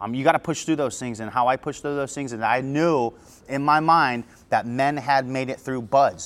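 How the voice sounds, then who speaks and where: A normal speaking voice from a man, medium in pitch, with fairly even intonation and a moderate pace. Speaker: former navy seal podcast host. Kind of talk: casual q&a monologue.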